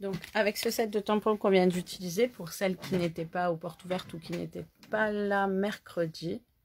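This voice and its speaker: The speaker has a southern French accent. Intonation stays fairly even at a moderate pace. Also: woman, medium pitch for a woman. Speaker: crafting instructor. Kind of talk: live craft tutorial. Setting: Facebook live stream. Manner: casual, chatty.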